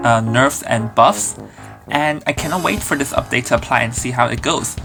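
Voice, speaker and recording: Music plays in the background while the voice moves at a moderate pace. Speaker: gaming video commentator. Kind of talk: casual talk to camera.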